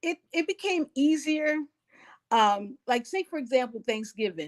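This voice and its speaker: A woman speaks at a high pitch with very wide pitch swings and a fairly slow pace. The sound is dry and close, with no echo. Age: 60s. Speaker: elder interviewee. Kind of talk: life story interview. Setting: living room.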